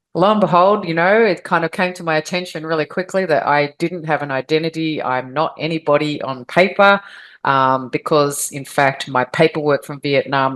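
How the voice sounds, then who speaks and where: A woman's very deep, low pitch in an Australian accent, at a moderate pace with hardly any pauses. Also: quiet background. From Australia (Victoria). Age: 50s. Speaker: adoptee advocate, organization founder. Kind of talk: interview, personal story.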